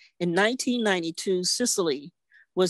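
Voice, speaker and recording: A plain, everyday voice, a woman's, fairly low with ordinary pitch variation, dry with no echo against a quiet background. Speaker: veteran journalist; presenter. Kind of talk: tribute speech. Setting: video call. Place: home room. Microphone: video call.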